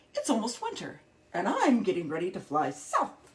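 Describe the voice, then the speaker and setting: In a put-on character voice, the speaker talks at a fairly quick pace with a fairly high pitch. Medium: read story.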